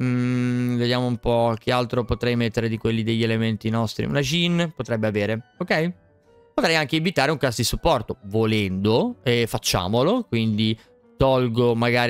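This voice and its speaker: With faint music playing behind him, a man talks, his pitch varying in an ordinary way. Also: dry sound with no echo. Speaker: game streamer. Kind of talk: gameplay commentary. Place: home room. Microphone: studio mic.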